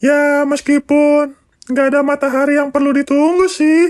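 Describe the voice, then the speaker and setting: In a put-on character voice, the speaker talks with a playful tone, a high pitch and a fairly slow pace. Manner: giggly, playful.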